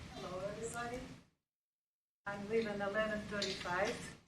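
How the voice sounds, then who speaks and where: There is audible room echo around a woman's voice. She speaks at medium pitch and a moderate pace. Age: 70s. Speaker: retired resident, public commenter. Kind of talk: public comment at meeting. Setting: public board meeting. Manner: halting.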